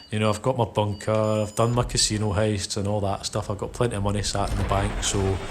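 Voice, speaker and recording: A man with a Scottish accent talks at a fairly quick pace. There is noticeable background noise. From Scotland. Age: 30s. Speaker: gaming youtuber. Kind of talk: casual chat. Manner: relaxed, hesitant with fillers.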